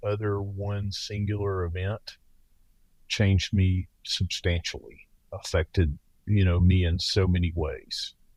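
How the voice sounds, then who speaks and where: A man's fairly slow speech is captured in a very clean recording, the background silent. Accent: Southern US. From US South. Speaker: paramedic and former police officer. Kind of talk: interview.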